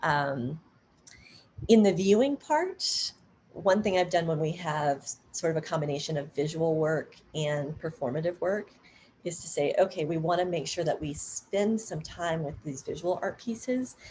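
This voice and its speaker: A woman speaks at a moderate pace with a fairly low pitch and ordinary pitch variation. It is an unremarkable speaking voice. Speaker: dance artist and workshop presenter. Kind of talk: workshop Q&A on Zoom. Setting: video call.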